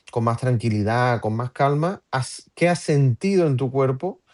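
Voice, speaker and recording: The speaker is a man at a medium pitch. He talks at a moderate pace against a quiet background. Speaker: podcast host. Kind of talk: live-stream interview. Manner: halting, many fillers.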